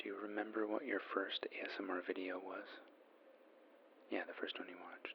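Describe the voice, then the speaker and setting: Over noticeable background noise, someone whispers in a calm, gentle tone with long, frequent pauses. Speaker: ASMR artist playing a magazine journalist on a phone interview. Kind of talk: ASMR role play, phone interview. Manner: soft-spoken, calm, gentle.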